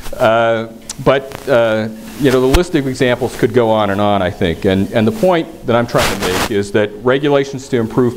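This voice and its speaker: Noticeable background noise accompanies the recording. A man speaks at a moderate pace with ordinary pitch variation. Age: 60s. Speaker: government environmental official. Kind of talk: conference speech. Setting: stage with audience. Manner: hesitant, many fillers and repeats.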